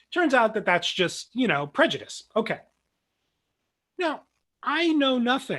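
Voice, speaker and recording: Against a quiet background, a man with an American accent speaks at a fairly slow pace with long, frequent pauses, his extremely high, bright, sharp voice making very wide pitch swings. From New Jersey. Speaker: philosophy professor. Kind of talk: lecture. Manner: many fillers and restarts.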